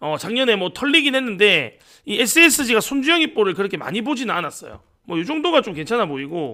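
The voice is raised and projected, bright and sharp in tone, moving at a fairly quick pace with very wide pitch swings. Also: man, high pitch for a man. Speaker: sports betting tipster streamer. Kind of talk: casual betting-tips livestream.

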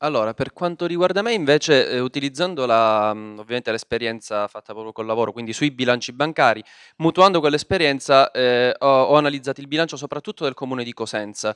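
A man at medium pitch and a very fast pace, with ordinary pitch variation, big swings in loudness, and a dry, close sound with no echo over a quiet background. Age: 30s. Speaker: politician. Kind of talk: speech.

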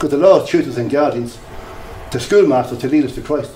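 Talking at a very fast pace with ordinary pitch variation, a man with a fairly high pitch is heard over light background noise and audible room echo. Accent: Irish. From Ireland, Drogheda; Ireland. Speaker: lay preacher. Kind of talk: sermon. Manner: animated. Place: hall.

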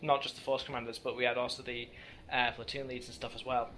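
Over noticeable background noise, a man talks with monotone, flat intonation. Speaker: team leader, player. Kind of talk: casual post-match interview.

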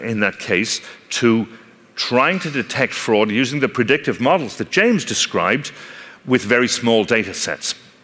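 With an Irish accent, a man talks at a moderate pace using lively intonation. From Ireland. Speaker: technology company speaker on analytics and fraud; speaker. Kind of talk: conference talk. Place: stage.

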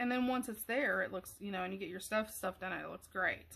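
Loud and bright, with a sharp tone, a woman speaks at a very fast pace with a fairly high pitch and fairly even intonation. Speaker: craft tutorial creator; craft tutorial maker. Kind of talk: tutorial. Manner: speaking up louder; casual, hesitant.

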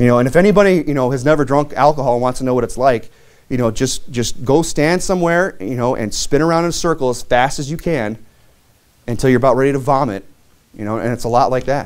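The pace is very fast. The background is quiet. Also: man, ordinary pitch variation. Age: 30s. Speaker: pastor. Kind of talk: sermon. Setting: church. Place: church.

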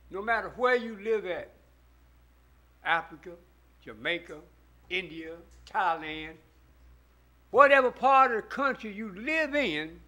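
In a raised, projected voice with a bright, sharp tone, a man speaks at a very slow pace with very wide pitch swings. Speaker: preacher. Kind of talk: sermon. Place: church. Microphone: podium.

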